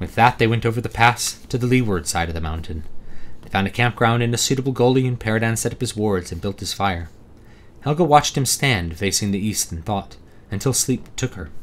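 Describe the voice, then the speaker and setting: A plain, everyday voice from a man at a medium pitch, fairly quick in pace with lively intonation. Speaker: author. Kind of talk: audiobook reading.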